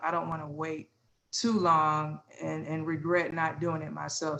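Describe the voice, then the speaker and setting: A woman talks with an American accent at a very deep, low pitch. Her intonation is monotone and flat. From US Midwest, Illinois. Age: 40s. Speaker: interview guest, mother. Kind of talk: candid conversation.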